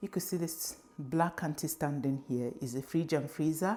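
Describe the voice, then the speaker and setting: A woman speaks with a very deep, low pitch. Her pitch variation is ordinary. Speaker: lifestyle vlogger. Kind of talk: home tour vlog. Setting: at home in kitchen. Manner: whispering; casual.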